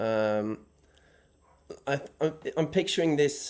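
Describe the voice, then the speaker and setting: A man with a Norwegian accent, at a very slow pace. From Norway. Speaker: caller. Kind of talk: call-in question on live show. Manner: halting.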